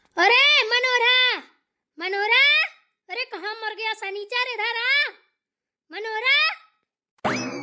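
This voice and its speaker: In a squeaky, put-on character voice at an extremely high pitch, a woman talks at a very slow pace with ordinary pitch variation and long, frequent pauses. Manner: shouting loudly.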